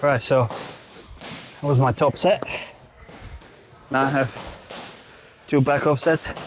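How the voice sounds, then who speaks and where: Through noticeable background noise, a man with a fairly high pitch and fairly even intonation talks at a very slow pace, pausing long and often. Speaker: bodybuilder and fitness coach. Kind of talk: gym vlog, casual self-talk. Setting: gym. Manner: breathy, panting between phrases.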